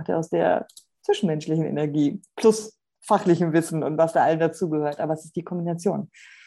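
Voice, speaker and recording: The voice has a dark, mellow tone and a fairly quick pace. The background is quiet. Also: woman. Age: 40s. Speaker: podcast co-host, hypnotherapist and coach. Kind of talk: casual chat.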